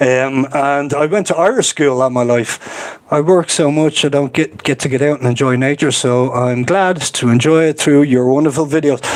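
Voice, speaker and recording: A man's fairly high voice at a moderate pace, ordinary pitch variation, noticeable background noise. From Ireland, Dublin. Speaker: nature vlogger. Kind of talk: live stream chat. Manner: hesitant, many fillers.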